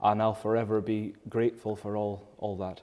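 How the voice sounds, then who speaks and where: A man with a northern Scottish accent speaks at a medium pitch. His tone is dark and mellow. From Scotland, Caithness. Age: 20s. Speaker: accordion player and singer. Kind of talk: interview.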